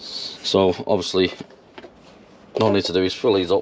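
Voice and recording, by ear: With a low voice, a man speaks at a moderate pace. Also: fairly even intonation.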